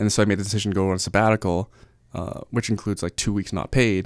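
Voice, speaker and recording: This man has an unremarkable speaking voice, fairly low in pitch, delivered at a fairly quick pace with fairly even intonation. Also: very clean recording, silent background. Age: 30s. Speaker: real estate investor and agent. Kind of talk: casual interview.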